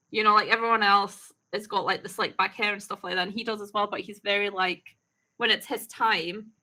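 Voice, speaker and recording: This woman talks at a fairly quick pace with a Scottish accent. Her pitch sits in the middle range. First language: not English. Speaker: YouTube reaction host. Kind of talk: casual chat. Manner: animated.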